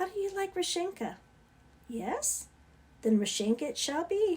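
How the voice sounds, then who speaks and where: A woman puts on a squeaky character voice at an extremely high pitch, with very wide pitch swings. She speaks at a moderate pace. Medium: read story.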